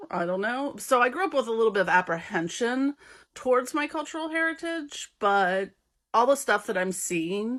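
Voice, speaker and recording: Her high-pitched voice swings very widely in pitch as this woman speaks. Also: moderate pace. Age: 40s. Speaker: content creator on witchcraft. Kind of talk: casual vlog monologue. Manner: halting, many fillers.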